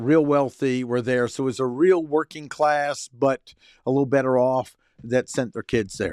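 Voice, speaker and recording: A man with an American accent uses a normal speaking voice at a medium pitch and moderate pace. The sound is dry and close with no echo, in a very clean recording over a silent background. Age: 60s. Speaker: personal development coach. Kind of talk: personal monologue.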